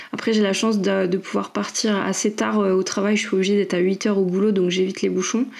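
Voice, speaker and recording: Over noticeable background noise, a woman talks very fast with very even loudness and a monotone, flat intonation. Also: medium pitch for a woman. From Île-de-France (Paris region), France. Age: 30s. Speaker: fantasy author and product manager. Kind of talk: podcast interview. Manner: many hesitations (euh).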